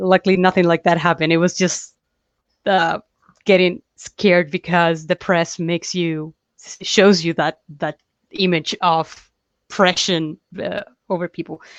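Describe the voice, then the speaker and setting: The delivery is monotone and flat, broken by long, frequent pauses. The sound is dry and close with no echo, over a quiet background. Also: woman, fairly low pitch for a woman, fairly slow pace. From Chile. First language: Spanish. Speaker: comic book artist. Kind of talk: interview.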